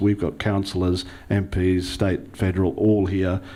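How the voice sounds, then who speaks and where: A man with an Australian accent talks at a moderate pace, his fairly low pitch carrying a dark, mellow tone. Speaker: local councillor, panellist. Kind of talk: panel talk. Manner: hesitant, many fillers.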